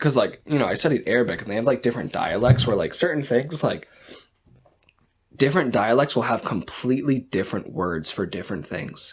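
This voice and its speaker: A man with a slight Boston accent, medium-pitched, fairly quick, and lively in intonation. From Massachusetts, Boston area. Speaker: podcast co-host. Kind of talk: casual chat.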